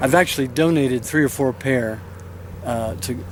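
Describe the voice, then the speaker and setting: A man's medium-pitched voice at a moderate pace, against noticeable background noise. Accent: American. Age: 60s. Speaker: pastor and war veteran on a cross-country walk. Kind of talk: news interview. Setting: outdoors by a highway.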